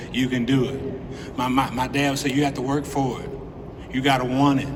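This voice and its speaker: A man talks at a medium pitch. The recording has audible room echo and noticeable background noise. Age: 60s. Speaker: hall of fame inductee, former basketball player. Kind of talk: acceptance speech. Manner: animated.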